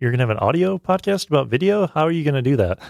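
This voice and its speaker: A man speaks with lively intonation. The recording is very clean, with a silent background. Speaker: video producer. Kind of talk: casual chat.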